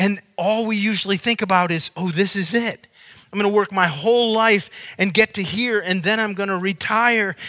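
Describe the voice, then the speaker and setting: In a raised, projected voice, a man speaks at a high pitch with a bright, sharp tone, fairly even intonation and a moderate pace. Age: 60s. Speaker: pastor. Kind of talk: sermon.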